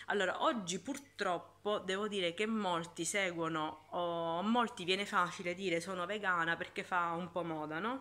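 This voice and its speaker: Her pitch fairly low, a woman talks at a fairly slow pace with ordinary pitch variation. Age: 40s. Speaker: YouTuber and fitness instructor; fitness vlogger. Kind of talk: casual vlog talk; casual vlog chat. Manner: halting. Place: home room. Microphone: phone near.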